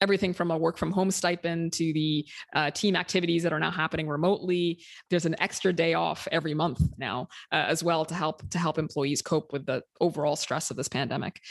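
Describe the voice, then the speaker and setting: This woman talks at a very fast pace with fairly even intonation. Her pitch is fairly low. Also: very clean recording, silent background. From Sudan. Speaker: startup founder and CEO. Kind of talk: interview.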